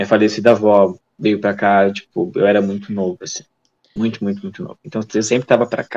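A man's fairly low, fairly even voice at a fairly quick pace, with a dry, close sound and no echo. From Santa Catarina, Brazil (Tijucas). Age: 20s. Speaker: lab technician. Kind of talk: casual interview. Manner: halting, many repetitions.

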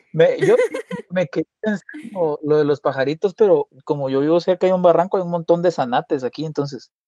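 Here a man speaks at a high pitch with a dark, mellow tone. His pace is fairly quick, and the sound is dry and close with no echo. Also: ordinary pitch variation. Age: 30s. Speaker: musician and journalist. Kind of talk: interview storytelling. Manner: halting, many repetitions and fillers.

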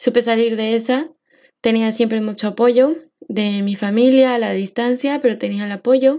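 A woman speaks at a moderate pace with a fairly high pitch, a dark, mellow tone and fairly even intonation. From Mexico. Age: 20s. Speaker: podcast host and social worker. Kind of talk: personal monologue podcast.

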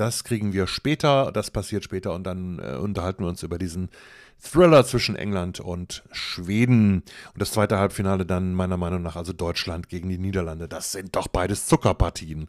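A man speaks with a very deep, low pitch and ordinary pitch variation. The recording is very clean and dry, with a silent background and no echo. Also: moderate pace. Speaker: football podcaster. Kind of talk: solo podcast commentary. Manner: casual, chatty.

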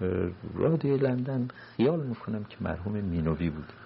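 With lively intonation, a man is speaking. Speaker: retired diplomat. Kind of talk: oral history interview.

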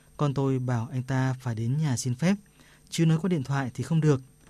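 Against a quiet background, a man speaks at a moderate pace with fairly even intonation. His fairly high voice has a dark, mellow tone and sounds somewhat breathy.

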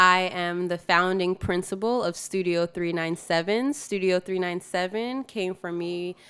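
A woman speaks at a fairly slow pace with a fairly low pitch and fairly even intonation, in a normal speaking voice. The recording is very clean, with a silent background. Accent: American. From New York, then Georgia. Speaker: architect and studio founder. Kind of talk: interview.

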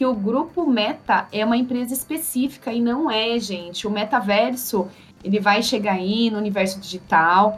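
A woman's fairly high voice at a moderate pace with ordinary pitch variation, an ordinary speaking voice. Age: 30s. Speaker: podcast co-host. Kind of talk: casual news chat.

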